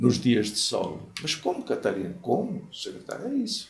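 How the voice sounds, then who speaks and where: A man speaks with a Portuguese accent, his voice somewhat breathy. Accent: Portuguese accent, kept deliberately. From Portugal. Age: 80s+. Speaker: former mayor. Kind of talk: interview storytelling. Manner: conversational, frequent fillers.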